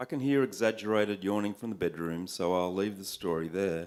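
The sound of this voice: An unforced reading voice of ordinary pitch variation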